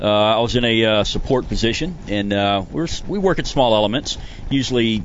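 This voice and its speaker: An audible room echo follows a man speaking at a medium pitch. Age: 40s. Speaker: retired special forces soldier and custom rod builder. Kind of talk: casual chat.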